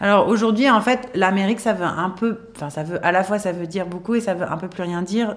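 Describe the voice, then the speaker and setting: Her medium-pitched voice moves at a fairly quick clip, keeping the intonation fairly even. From southern France, Toulon. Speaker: TV screenwriter and showrunner. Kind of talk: interview. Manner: halting, many fillers.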